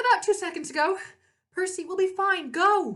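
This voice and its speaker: A woman uses a put-on character voice, squeaky and extremely high in pitch, delivered at a moderate pace. Her voice is raised and projected. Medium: read story.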